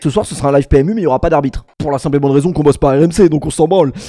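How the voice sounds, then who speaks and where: A man speaks with a dark, mellow tone. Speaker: streamer. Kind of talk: casual livestream chat.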